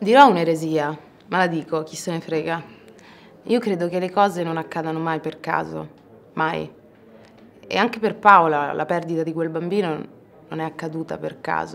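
With vocal fry and long, frequent pauses, a woman speaks at a moderate pace in a fairly low pitch and fairly even intonation. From Ostia, Rome, Italy; Italy. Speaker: actress. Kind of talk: press interview. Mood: thoughtful, calm. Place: hall.

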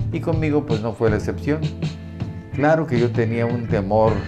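A man talks over loud background music. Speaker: radio announcer. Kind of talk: casual talk to camera, reminiscing. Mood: warm, nostalgic. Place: studio. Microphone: lapel.

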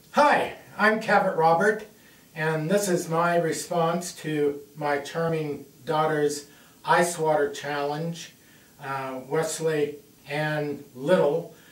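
Very slow male speech with fairly even intonation and audible room echo. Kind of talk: casual address to camera. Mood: light-hearted, joking. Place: home room. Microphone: camera far.

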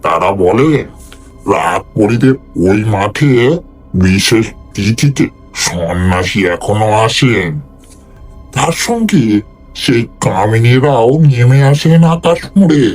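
Quiet and very slow, a man puts on a character voice with lively intonation as clear music plays in the background. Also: medium pitch for a man. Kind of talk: folk horror storytelling. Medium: read story. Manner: deferential, hushed and fearful.

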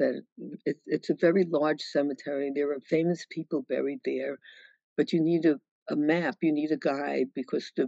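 An American accent at a moderate pace with ordinary pitch variation, a dry sound with no echo and a quiet background. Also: woman. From New York City, Brooklyn; New York City. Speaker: author and widow of a sociologist. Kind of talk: virtual book talk Q&A. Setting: video call. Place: home room. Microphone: video call.

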